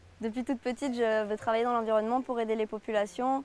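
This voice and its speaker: Her pitch sits fairly high. The woman speaks with monotone, flat intonation. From southern France. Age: 20s. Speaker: conservation volunteer. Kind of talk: interview testimony. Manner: hesitant, many fillers.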